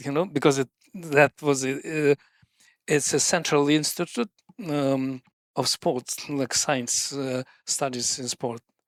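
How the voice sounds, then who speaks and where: Speaking with a strong Russian accent, a man with a fairly high pitch and fairly even intonation talks at a very slow pace with long, frequent pauses, in a dry, close sound with no echo. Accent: thick Russian. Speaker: sports scientist, running coach. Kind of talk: podcast interview answer.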